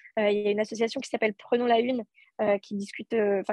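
A woman with a fairly high pitch and fairly even intonation at a moderate pace, in a dry, close sound with no echo. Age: 20s. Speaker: association president. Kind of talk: casual chat.

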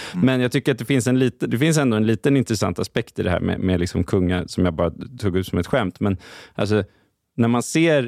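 Speaking at a fairly quick pace, a man uses lively intonation at medium pitch. The recording is very clean with a silent background and a dry, close sound with no echo. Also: very even loudness. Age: 30s. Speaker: journalist. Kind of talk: casual chat.

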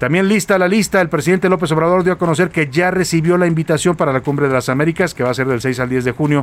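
A man speaks at a very fast pace with hardly any pauses and ordinary pitch variation. His loudness stays very even. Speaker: radio news host. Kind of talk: radio news show. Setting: radio studio.

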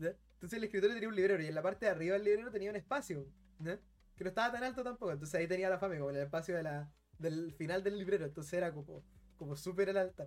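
There is a man with a high voice. He goes very fast with ordinary pitch variation. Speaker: podcast co-host, game collector. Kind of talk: casual chat.

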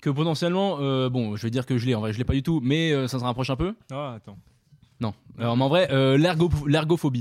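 A man talks at a fairly quick pace in an ordinary speaking voice. His pitch is medium with ordinary pitch variation. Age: 20s. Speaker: podcast co-host. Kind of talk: casual chat.

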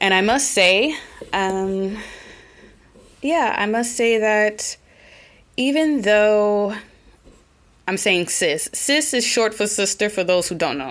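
Speaking very slowly with long, frequent pauses, a woman with an American accent uses a fairly high pitch and lively intonation. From Oklahoma, US. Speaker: podcast host. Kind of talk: casual solo podcast monologue. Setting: living in Germany.

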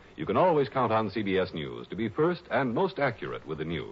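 A man speaks at a fairly quick pace, his pitch swinging very widely. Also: fairly low pitch for a man.

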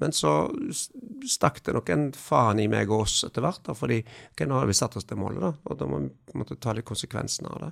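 The speaker is a man. His pitch sits fairly low. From western Norway, near Haugesund. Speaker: entrepreneur and investor. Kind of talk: interview. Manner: halting.

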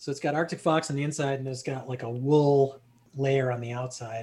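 Speaking at a fairly quick pace, a man with an American accent has a medium pitch, a somewhat breathy sound and monotone, flat intonation. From US Midwest, South Bend, Indiana. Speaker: anthropology professor. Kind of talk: casual interview.

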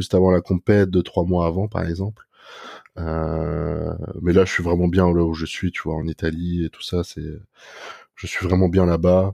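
The voice has a dark, mellow tone and moves at a moderate pace, with a dry, close sound and no echo. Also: man. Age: 20s. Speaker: bodybuilder. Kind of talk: casual chat.

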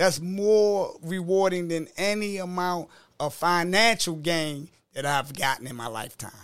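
With a Baltimore accent, a high-voiced man speaks at a fairly slow pace, his loudness swinging widely. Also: ordinary pitch variation. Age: 50s. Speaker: author and life coach. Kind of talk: casual interview chat.

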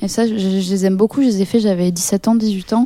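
A woman speaks at a fairly slow pace with fairly even intonation and a dark, mellow tone. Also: dry, close sound with no echo. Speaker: rapper and singer. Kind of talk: casual interview. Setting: studio.

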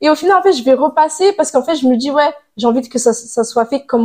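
The pace is fairly quick. Pitch swings very widely. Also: woman. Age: 20s. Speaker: stay-at-home mother. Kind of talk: casual interview chat. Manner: halting, many hesitations.

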